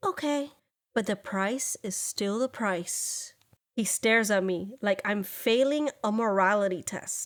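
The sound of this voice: The clip has an unforced reading voice over a quiet background.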